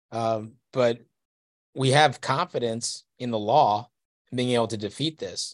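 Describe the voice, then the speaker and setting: A man with an American accent and an ordinary speaking voice talks at a fairly slow pace and medium pitch with fairly even intonation, in a very clean recording with a silent background and a dry, close sound with no echo. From Texas. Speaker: hunting advocacy lobbyist. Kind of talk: casual interview.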